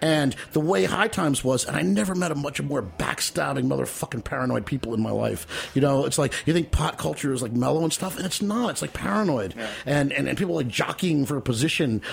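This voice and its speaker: A man talks at a very fast pace with hardly any pauses and very wide pitch swings. Noticeable background noise can be heard. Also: medium pitch for a man. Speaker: memoirist performing excerpts. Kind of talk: reading aloud from memoir. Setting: studio.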